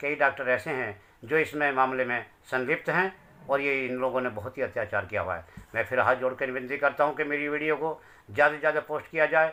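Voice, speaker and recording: A man speaks at a fairly high pitch with a bright, sharp tone. His pace is moderate, with ordinary pitch variation. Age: 60s. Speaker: bereaved father. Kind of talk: interview testimony.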